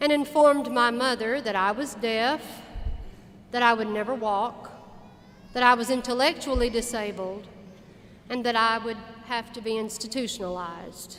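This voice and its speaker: The speaker has a plain, everyday voice. The pace is moderate and the intonation fairly even. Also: woman, fairly high pitch for a woman. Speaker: commencement speaker, university alumna. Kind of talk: commencement speech. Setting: auditorium, live address to an audience.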